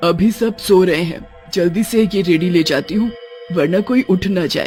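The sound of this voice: At a moderate pace, a cartoonish character voice speaks at a middle pitch over clear background noise.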